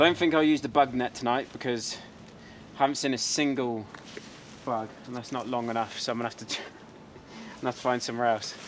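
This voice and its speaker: Speaking at a fairly quick pace and medium pitch, a man keeps fairly even intonation but shows big swings in loudness against noticeable background noise. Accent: English. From England. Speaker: photography vlogger. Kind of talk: vlog narration. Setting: outdoors.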